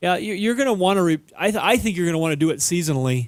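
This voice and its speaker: A man rattles along at a very fast pace with an American accent. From Minnesota. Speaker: auto repair show co-host. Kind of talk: call-in radio advice.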